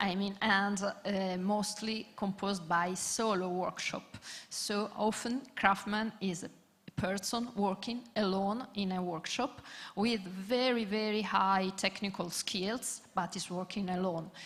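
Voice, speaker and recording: A woman's medium-pitched, somewhat breathy voice with a non-native accent, fairly even intonation and a very slow pace. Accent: non-native English speaker. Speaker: panelist, craft network representative. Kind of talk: conference panel talk. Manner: halting, many fillers.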